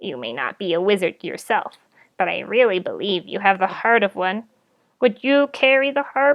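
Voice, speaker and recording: The voice is raspy and clearly a put-on character. It moves at a moderate pace. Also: woman, medium pitch for a woman. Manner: kindly, earnest.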